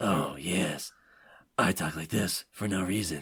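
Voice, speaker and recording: Putting on a character voice, a man growls out gravelly, raspy words at a very deep, low pitch and a fairly slow pace. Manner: sarcastic, mocking.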